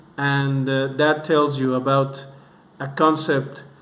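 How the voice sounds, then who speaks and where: A man with a non-native accent speaks at a very slow pace, his pitch fairly high. Echo from the room is audible. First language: not English. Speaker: music reviewer. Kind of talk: video review monologue. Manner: halting, with repetitions.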